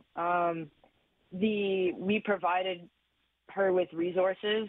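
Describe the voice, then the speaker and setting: In an ordinary speaking voice, a woman talks at medium pitch with fairly even intonation. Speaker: former hockey team analyst. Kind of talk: interview.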